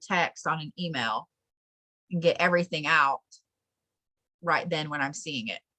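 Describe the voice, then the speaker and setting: Dry and close with no echo, the recording has a woman with an American accent speaking fairly slowly in a bright, sharp tone with ordinary pitch variation. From Colorado. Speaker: spiritual teacher. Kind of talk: online class.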